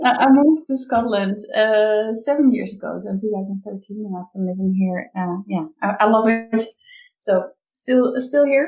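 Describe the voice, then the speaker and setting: With a Dutch accent, a woman speaks at a moderate pace in a fairly high, somewhat breathy voice with a dark, mellow tone, ordinary pitch variation and big swings in loudness. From Netherlands. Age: 30s. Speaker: business coach. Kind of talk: interview. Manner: halting.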